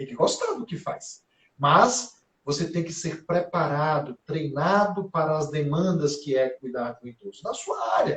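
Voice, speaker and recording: In a plain, everyday voice, a man with a fairly high pitch and lively intonation speaks at a fairly slow pace. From Brazil, interior of Bahia (sertão, Conceição do Coité). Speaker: gerontologist. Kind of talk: conversational interview. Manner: frequent fillers and tag questions.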